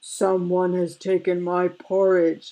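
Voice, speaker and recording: A growling, put-on character voice at a middle pitch and a fairly slow pace. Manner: snarling, bellowing.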